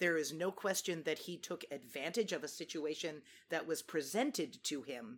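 Very deep, low woman's voice at a moderate pace with ordinary pitch variation, in a very clean recording with a silent background. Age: 50s. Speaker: actress and singer. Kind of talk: casual chat.

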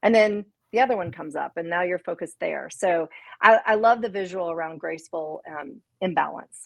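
Against a quiet background, a woman with an American accent and a fairly low pitch speaks at a fairly quick pace with ordinary pitch variation and an ordinary speaking voice. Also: big swings in loudness. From US South, Memphis, Tennessee. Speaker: children's book author and business leader. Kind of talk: casual interview.

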